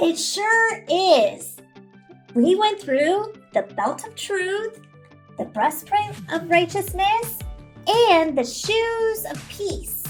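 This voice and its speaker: In a cartoonish character voice, a woman speaks very slowly at an extremely high pitch while faint music plays in the background. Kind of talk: children's puppet show Bible lesson. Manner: upbeat, encouraging.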